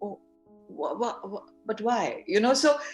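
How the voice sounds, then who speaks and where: With a Bengali accent, a woman speaks at a moderate pace in a fairly high pitch, her intonation lively. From India, Bengali. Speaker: filmmaker. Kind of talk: interview. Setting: video call. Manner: animated.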